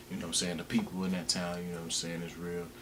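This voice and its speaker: Over noticeable background noise and audible room echo, a man speaks at a very deep, low pitch. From US South, Alabama (Wetumpka, near Montgomery). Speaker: rapper and music producer. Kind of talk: casual interview. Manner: laid-back, filler-heavy.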